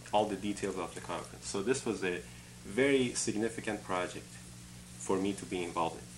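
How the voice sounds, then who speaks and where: A man with an Iranian accent speaks in a fairly low pitch with very wide pitch swings, and audible room echo surrounds his voice. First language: Farsi. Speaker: engineering academic and conference organizer. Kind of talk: interview.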